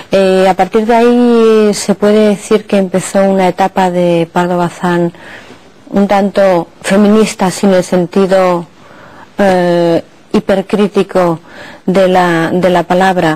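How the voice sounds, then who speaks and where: A woman's dark, mellow voice at medium pitch, very slow, monotone and flat, with very even loudness. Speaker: TV presenter. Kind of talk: TV interview questions.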